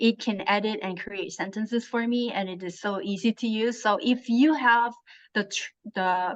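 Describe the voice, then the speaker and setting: Speaking at a fairly slow pace with ordinary pitch variation, a woman talks in a Korean accent. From South Korea. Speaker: translator and author. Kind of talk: interview.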